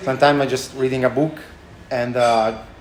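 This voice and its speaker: A man with a strong Italian accent in a flat monotone, amid noticeable background noise and audible room echo. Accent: thick Italian. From Italy, Tuscany. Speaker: chef and restaurant owner. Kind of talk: interview. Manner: halting, many fillers.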